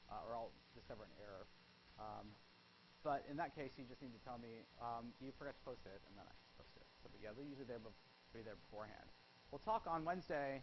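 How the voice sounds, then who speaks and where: A man speaks at medium pitch and a fairly quick pace. There is audible room echo. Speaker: psychology professor. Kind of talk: lecture. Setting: classroom with students. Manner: fast.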